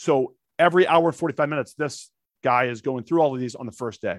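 This man has an ordinary speaking voice with an American accent, ordinary pitch variation and a fairly quick pace. The recording is very clean with a silent background and a dry, close sound with no echo. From St. Louis, Missouri, with Texas summers. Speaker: actor, comedian and Air Force veteran. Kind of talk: casual interview chat.

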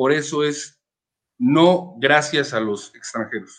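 Fairly high in pitch, a man talks at a fairly slow pace with ordinary pitch variation. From Mexico City. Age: 30s. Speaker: sports team owner. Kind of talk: interview.

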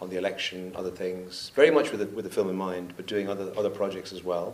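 A man speaks with a fairly low pitch. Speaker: documentary photographer and film director. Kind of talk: panel Q&A conversation on stage. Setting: stage with audience.

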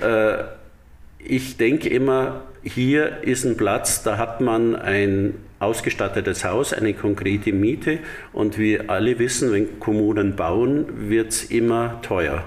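A man at a very slow pace, ordinary pitch variation, audible room echo around him. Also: medium pitch for a man. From Bavaria, Dachau. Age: 60s. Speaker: artist and association chairman. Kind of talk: interview. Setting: library in exhibition hall.

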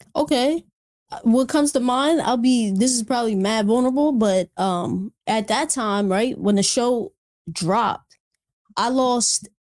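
A woman with a normal speaking voice talks at a fairly slow pace with ordinary pitch variation. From Reading, Pennsylvania. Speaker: rapper. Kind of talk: casual chat.

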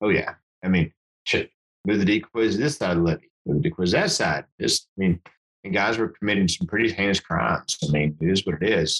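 With an American accent, a man with a fairly low pitch talks at a fairly quick pace in an ordinary speaking voice, his intonation lively and his loudness very even, in a dry, close sound with no echo. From Texas Panhandle (Amarillo) and New Mexico. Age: 40s. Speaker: hunting and fly fishing guide. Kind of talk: casual chat.

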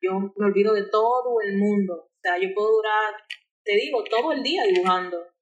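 This is a woman with a medium pitch. She keeps a moderate pace. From Dominican Republic, Santo Domingo. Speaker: illustrator. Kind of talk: interview.

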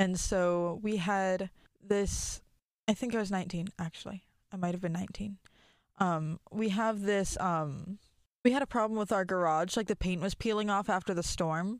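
On a very clean recording with a silent background, a woman with an unremarkable speaking voice talks at medium pitch, with fairly even intonation and a moderate pace. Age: 20s. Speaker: podcast co-host. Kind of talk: casual chat. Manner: laughs a lot.

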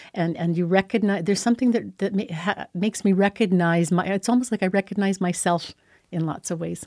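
Delivered at a fairly quick pace with fairly even intonation, the voice sounds dry and close with no echo on a very clean recording with a silent background. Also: woman, medium pitch for a woman. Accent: Canadian prairie. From Saskatchewan, Canada (small town). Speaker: school board trustee. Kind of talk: interview. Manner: halting, many repetitions.

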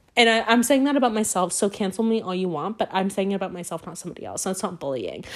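Speaking at a very fast pace with hardly any pauses, a woman uses a medium pitch and ordinary pitch variation. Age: 20s. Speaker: podcast host. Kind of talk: casual solo chat. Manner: rambling with many fillers and restarts.

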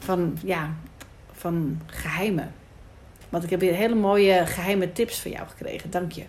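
A woman speaks slowly at a fairly low pitch, with fairly even intonation and long, frequent pauses. Her loudness swings widely, and the room echo is audible. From Netherlands, Amsterdam Noord. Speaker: podcast host. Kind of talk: casual interview. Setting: rooftop in Amsterdam.

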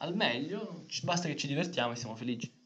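The room's echo can be heard around a man as he talks. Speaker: podcast co-host. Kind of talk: casual chat.

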